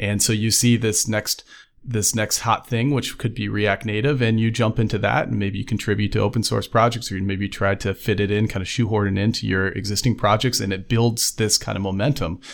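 There is vocal fry as this man speaks at a fairly quick pace, with a fairly low pitch and fairly even intonation. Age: 30s. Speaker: software engineer. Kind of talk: interview. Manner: halting.

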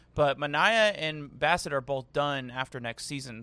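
Loud and at a moderate pace, a man speaks with a bright, sharp tone in a very clean recording with a silent background. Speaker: baseball podcast host. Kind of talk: casual chat. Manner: animated.

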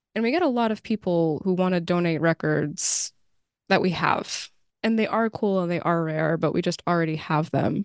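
Over a quiet background, a woman with an ordinary speaking voice talks at a moderate pace and a fairly low pitch, with ordinary pitch variation, very even loudness and a dry, close sound with no echo. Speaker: podcast host. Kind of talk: interview.

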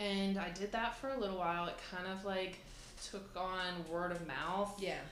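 At a moderate pace, a woman speaks with medium pitch and fairly even intonation. Noticeable background noise runs behind her. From small town. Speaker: fitness business owner. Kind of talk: casual chat.

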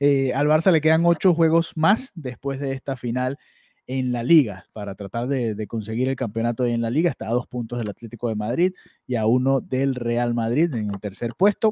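A man talks at a fairly quick pace with ordinary pitch variation and a dark, mellow tone. The sound is dry and close with no echo, on a very clean recording with a silent background. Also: medium pitch for a man. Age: 20s. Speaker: football podcast host. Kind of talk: casual football chat. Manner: halting, many repetitions.

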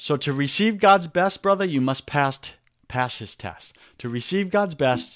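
On a very clean recording with a silent background, a man with a New York accent talks at a moderate pace in a fairly high pitch, with lively intonation and an animated, energetic tone. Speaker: men's coach, entrepreneur. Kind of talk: interview, coaching talk.

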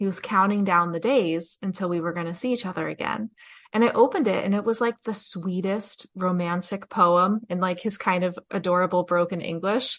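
With an American accent, a woman has an unremarkable speaking voice at medium pitch. She talks at a fairly quick pace with fairly even intonation and hardly any pauses. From New Jersey. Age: 30s. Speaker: podcast host and author. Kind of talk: casual interview storytelling. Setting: video call.

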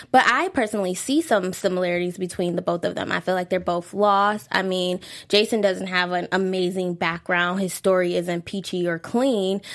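A woman with a plain, everyday voice at medium pitch, with fairly even intonation, a moderate pace and hardly any pauses, on a very clean recording with a silent background. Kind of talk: casual chat.

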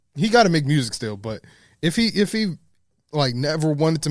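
This man's voice sits fairly high in pitch. He talks at a very fast pace. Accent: New York. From New York City, the Bronx. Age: 20s. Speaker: photographer. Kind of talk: casual chat. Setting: studio.

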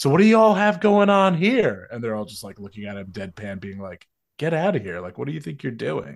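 A man's voice comes through in a very clean recording with a silent background. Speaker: guest film discussant. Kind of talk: casual chat.

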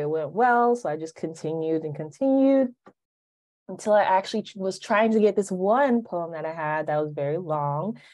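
Over a quiet background, a woman speaks at a fairly quick pace with a medium pitch. Her tone is dark and mellow, and her intonation is lively. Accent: American. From Alabama, US South. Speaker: poet. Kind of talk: casual chat.

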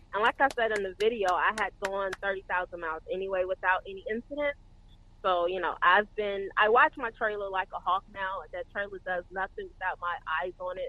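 Here is a woman in a Southern US accent. Her pitch is medium, with ordinary variation. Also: moderate pace. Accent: Southern US (Georgia). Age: 30s. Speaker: trainee truck driver. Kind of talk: casual interview chat.

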